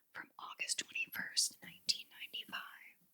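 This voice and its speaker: A woman whispering at a moderate pace, dry and close with no echo. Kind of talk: ASMR magazine flip-through. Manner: whispered, soft-spoken.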